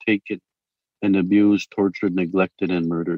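Moving at a fairly quick pace, a man's voice sits fairly low. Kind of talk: press conference speech. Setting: video call.

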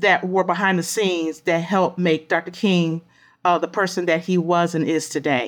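In a very clean recording with a silent background, a woman with an American accent and an unremarkable speaking voice talks at a fairly slow pace and medium pitch. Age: 50s. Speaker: historian. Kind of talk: interview.

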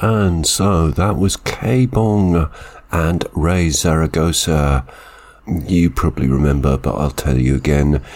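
Noticeable background noise sits under a voice moving at a very slow pace with ordinary pitch variation. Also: man, very deep, low pitch for a man. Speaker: radio music show host. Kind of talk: radio DJ links between songs. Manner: brief, minimal speech.

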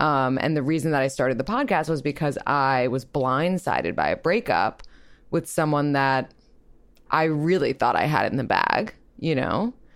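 A woman's very deep, low voice at a moderate pace, with lively intonation and very even loudness. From New York. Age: 20s. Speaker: relationship podcast host. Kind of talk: casual interview.

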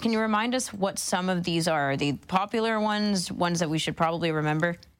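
A woman with a normal speaking voice at medium pitch speaks with lively intonation in a very clean recording with a silent background. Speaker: radio host. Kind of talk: casual chat. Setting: studio.

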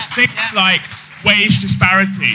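A man's raised, projected voice over music in the background. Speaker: lawyer, audience member at a live podcast recording. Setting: live audience event.

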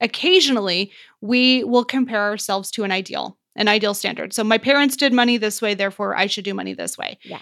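A woman talks at a fairly quick pace with a plain, everyday voice. Her medium pitch holds fairly even intonation. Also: very clean recording, silent background. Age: 30s. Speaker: financial coach. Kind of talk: casual chat.

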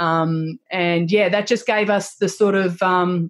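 This woman has an Australian accent and a medium pitch. Her tone is energetic and animated. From Australia, Melbourne. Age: 40s. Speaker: social media influencer. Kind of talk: interview. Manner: energetic, animated.

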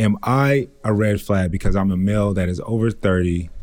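In an ordinary speaking voice, a man talks at a fairly low pitch with lively intonation. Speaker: podcast co-host. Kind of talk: casual chat. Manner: playful, slangy.

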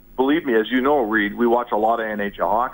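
At a fairly quick pace, a man talks in an ordinary speaking voice with a medium pitch. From Edmonton, Canada. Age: 50s. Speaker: sports journalist. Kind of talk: radio interview.

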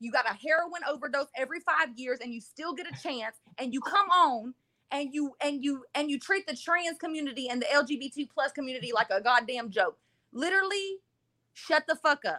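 Talking fairly quickly in an American accent, a woman with a high-pitched, raised and projected voice sounds animated, her intonation lively and her loudness swinging widely, all in a dry, close sound with no echo. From Texas, Dayton. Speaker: caller. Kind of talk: casual chat.

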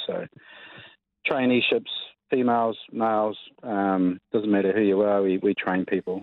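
Pitched fairly low, a man speaks with a New Zealand accent. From New Zealand, Cromwell. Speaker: mining company executive. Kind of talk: radio interview. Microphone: lag on the line.

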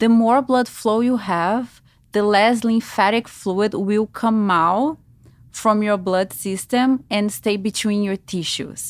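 A woman with a Brazilian Portuguese accent, fairly high in pitch with ordinary pitch variation, at a very slow pace in a very clean recording with a silent background. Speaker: lymphatic massage therapist. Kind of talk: interview.

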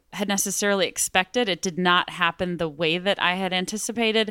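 With a Texan accent, the voice has a bright, sharp tone and ordinary pitch variation on a very clean recording with a silent background. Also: woman. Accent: Texan American. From West Texas, Midland. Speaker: former church member, touring performer. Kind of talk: interview testimony.

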